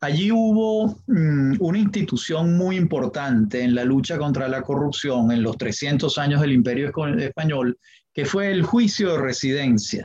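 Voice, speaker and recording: With a dark, mellow tone and lively intonation, the voice sounds somewhat breathy and moves at a fairly slow pace. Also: man, fairly high pitch for a man. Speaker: history professor and lawyer. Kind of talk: interview. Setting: podcast interview.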